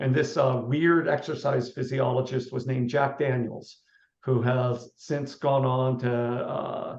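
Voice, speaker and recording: A man speaks at a fairly slow pace and medium pitch. His delivery is a flat monotone and somewhat breathy. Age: 60s. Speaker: running coach and author. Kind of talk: interview.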